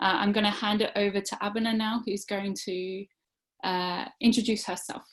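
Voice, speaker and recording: At a moderate pace, a woman speaks in a medium pitch. Her intonation stays monotone and flat. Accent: Australian. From Australia. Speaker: teacher and webinar presenter. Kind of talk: online webinar presentation. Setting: online webinar. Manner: hesitant, many fillers.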